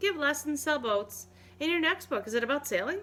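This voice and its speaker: A woman's put-on character voice, high-pitched and fairly quick, with very wide pitch swings. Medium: read story.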